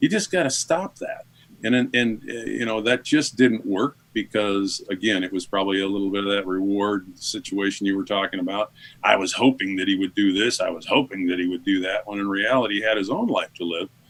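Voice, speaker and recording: Pitched fairly low, a man talks in a normal speaking voice at a fairly quick pace with fairly even intonation. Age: 60s. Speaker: father of a son in recovery. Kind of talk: interview testimony. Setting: radio show.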